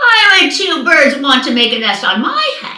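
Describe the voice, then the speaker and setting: Using a put-on character voice, a woman speaks at a high pitch with slight echo. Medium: read story. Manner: anxious.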